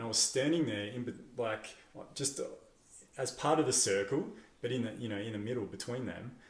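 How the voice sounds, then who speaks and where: Somewhat breathy, a man speaks at a medium pitch with ordinary pitch variation, with audible room echo around him. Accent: Australian. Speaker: podcast host. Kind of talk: casual interview chat.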